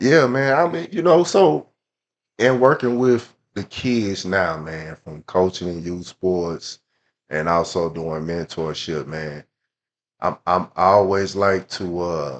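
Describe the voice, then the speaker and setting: Speaking at a very slow pace with an American accent, a man with a very deep, low pitch uses lively intonation and big swings in loudness over a quiet background. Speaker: youth sports coach and mentor. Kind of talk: casual chat.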